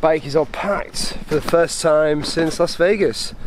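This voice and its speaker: With noticeable background noise behind him, a man speaks at a fairly slow pace with ordinary pitch variation. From Yorkshire, England. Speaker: cycle touring vlogger. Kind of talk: casual vlog narration.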